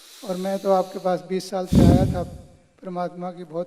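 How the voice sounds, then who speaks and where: A man speaks in a high-pitched voice. His intonation is monotone and flat. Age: 70s. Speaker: yoga camp participant. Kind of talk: testimony. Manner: halting.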